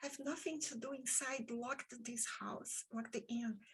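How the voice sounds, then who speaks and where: A woman speaks in a Brazilian Portuguese accent at a high pitch. Her pace is very slow. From Brazil, Rio de Janeiro. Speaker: author and podcaster. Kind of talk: interview conversation.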